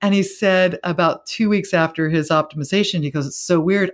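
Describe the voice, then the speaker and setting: A woman's plain, everyday voice at a fairly quick pace, on a very clean recording with a silent background. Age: 50s. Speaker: spiritual teacher. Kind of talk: interview.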